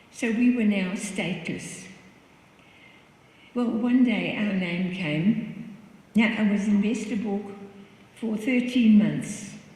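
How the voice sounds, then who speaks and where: A woman speaks with a fairly high pitch and fairly even intonation. Audible room echo and noticeable background noise surround her. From Netherlands. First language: Dutch. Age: 80s+. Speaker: Holocaust survivor. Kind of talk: testimony. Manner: conversational, slightly halting.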